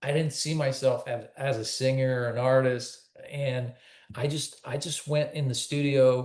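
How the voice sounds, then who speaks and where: A man speaks at a fairly slow pace with monotone, flat intonation. His voice is somewhat breathy. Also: medium pitch for a man. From Quebec, Canada. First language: French. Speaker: country singer. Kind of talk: interview.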